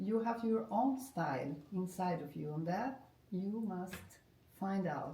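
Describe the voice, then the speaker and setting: A woman with a medium pitch speaks very slowly, her intonation lively, with audible room echo around her. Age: 60s. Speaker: art therapist and former professional musician. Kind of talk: interview. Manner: halting.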